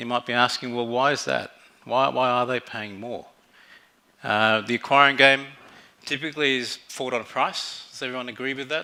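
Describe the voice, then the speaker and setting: Speech moves at a fairly quick pace with a bright, sharp tone. The intonation stays fairly even, with an Australian accent. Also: man. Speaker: fintech general manager. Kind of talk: conference talk. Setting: stage with audience. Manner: halting, many fillers.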